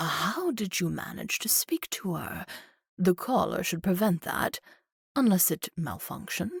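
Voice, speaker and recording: A put-on character voice speaks at a moderate pace in a dry, close sound with no echo. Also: woman, medium pitch for a woman. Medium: read story. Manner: cold, clinical, mocking.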